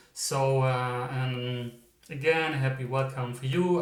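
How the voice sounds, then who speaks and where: A man with a German accent speaks with medium pitch and fairly even intonation. Room echo is audible. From Germany. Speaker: psychic medium, tarot reader. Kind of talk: pick-a-card tarot reading intro. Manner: hesitant, many fillers.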